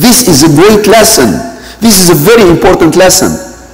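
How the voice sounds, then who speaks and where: Intonation here is lively. The voice belongs to a man. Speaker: imam. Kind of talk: sermon. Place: church.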